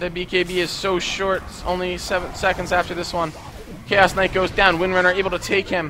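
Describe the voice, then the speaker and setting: Noticeable background noise sits behind a man whose voice is high-pitched. He speaks at a fairly quick pace with monotone, flat intonation. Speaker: esports caster. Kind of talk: live commentary. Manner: fast.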